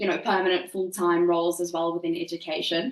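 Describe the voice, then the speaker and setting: The woman's delivery is fairly quick. Background noise is noticeable throughout. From South Africa. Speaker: recruitment business owner. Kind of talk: interview.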